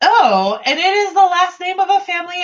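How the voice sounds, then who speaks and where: A woman's pitch swings very widely as she talks at a moderate speed. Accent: East Coast US. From US East Coast (New York, Ohio, Delaware). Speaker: writing group host. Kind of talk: casual chat. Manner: halting, many fillers.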